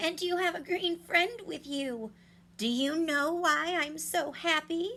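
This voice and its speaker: Cackling in a put-on character voice, a woman speaks at an extremely high pitch and a fairly slow pace. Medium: read story. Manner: cackling, gloating.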